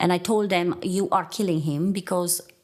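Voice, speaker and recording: Fairly even intonation in a Romanian accent. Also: woman. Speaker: nurse. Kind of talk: testimony.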